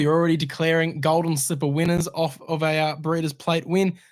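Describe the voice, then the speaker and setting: This man has an Australian accent and a fairly high voice. He talks at a fairly quick pace on a very clean recording with a silent background. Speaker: horse racing podcast host. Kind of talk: casual chat. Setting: studio.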